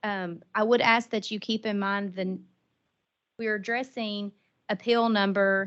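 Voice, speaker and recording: A woman speaks fairly slowly in a monotone, flat intonation. Her pauses are long and frequent. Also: medium pitch for a woman. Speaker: attorney representing taxpayers. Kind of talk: legal oral argument. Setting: hearing room, also carried by video call. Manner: loud; formal.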